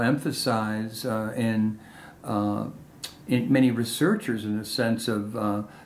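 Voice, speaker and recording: A man talks with a noticeable amount of noise in the background. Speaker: oral history interviewer. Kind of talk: interview questions.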